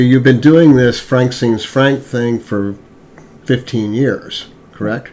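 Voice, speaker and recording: A man's medium-pitched voice at a very slow pace, with fairly even intonation, long, frequent pauses and noticeable background noise. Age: 70s. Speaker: podcast host. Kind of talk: interview.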